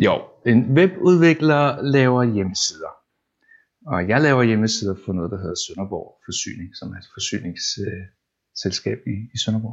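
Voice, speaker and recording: At a medium pitch, a man speaks at a fairly slow pace with lively intonation. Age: 40s. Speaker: web developer. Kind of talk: casual interview. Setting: at home. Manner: halting, repeats words.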